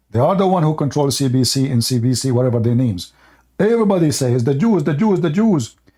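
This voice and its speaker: This man speaks very fast with an Arabic accent, a fairly high pitch and very wide pitch swings. His tone is dark, mellow and somewhat breathy, with very even loudness. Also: very clean recording, silent background. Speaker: religious debate livestream host. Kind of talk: heated debate. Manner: animated, insistent; halting, many fillers.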